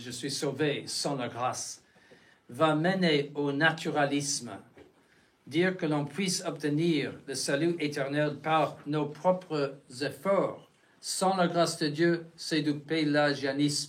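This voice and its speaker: There is audible room echo as a man speaks at a very slow pace. His pitch is fairly high and varies in an ordinary way. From United States. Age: 70s. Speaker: bishop. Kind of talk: lecture. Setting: chapel. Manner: halting, many restarts and fillers.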